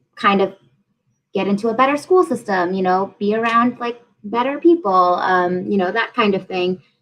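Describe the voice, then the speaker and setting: A woman's medium-pitched voice in an American accent, with ordinary pitch variation. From Massachusetts, US. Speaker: program officer and small business advisor. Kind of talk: panel interview.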